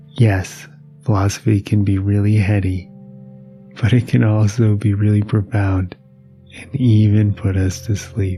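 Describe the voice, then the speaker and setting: With music playing in the background, a calm, soothing voice moves at a fairly slow pace with fairly even intonation and long, frequent pauses. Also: man, fairly low pitch for a man. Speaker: meditation teacher and sleep podcast host. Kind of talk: casual intro to camera, humorous. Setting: podcast recording. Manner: calm, soothing, slow.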